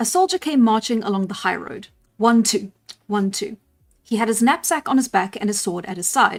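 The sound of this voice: With lively intonation, an unforced reading voice comes through a quiet background.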